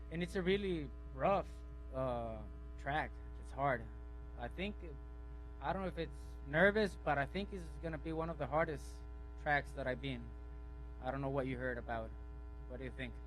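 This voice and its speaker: With a Spanish accent, a man talks at a fairly quick pace broken by long, frequent pauses, and audible room echo surrounds his voice. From Mexico, Culiacán, Sinaloa. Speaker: off-road race driver. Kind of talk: interview.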